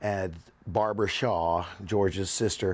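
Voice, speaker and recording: Speaking slowly-ish, a man with an American accent uses a plain, everyday voice at a fairly low pitch with fairly even intonation, in a very clean recording with a silent background. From US South, Charlotte, North Carolina. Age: 60s. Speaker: documentary interviewee. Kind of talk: personal storytelling interview.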